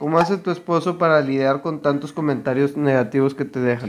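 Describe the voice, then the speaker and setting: The speaker is a man with a fairly high pitch. He talks at a moderate pace. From Mexico. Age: 20s. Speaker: youtuber's husband. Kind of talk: casual chat. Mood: relaxed, joking. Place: home room. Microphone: lapel.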